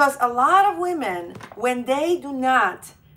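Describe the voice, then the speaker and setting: With lively intonation, a woman speaks in a Polish accent. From Poland. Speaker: relationship coach. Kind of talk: live stream monologue. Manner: halting.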